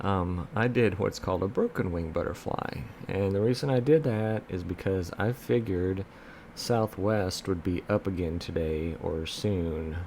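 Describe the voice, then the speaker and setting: A man's very deep, low pitch with ordinary pitch variation. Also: fairly slow pace. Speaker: options trading youtuber. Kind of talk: screen-share tutorial. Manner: casual, filler-heavy.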